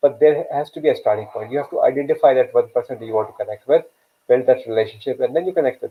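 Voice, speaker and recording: Speaking at a very fast pace, a man talks with a Pakistani accent. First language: Urdu. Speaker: career coach and live show host. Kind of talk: live stream talk. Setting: online live video session. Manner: hesitant, many fillers.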